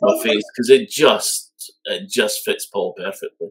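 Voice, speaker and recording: Speaking at a fairly slow pace, a man talks with a Scottish accent. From Scotland. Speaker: music fan panelist. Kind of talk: casual chat.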